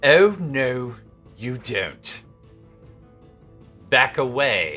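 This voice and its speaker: A man puts on a character voice at a medium pitch. Faint music plays in the background. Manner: menacing, commanding.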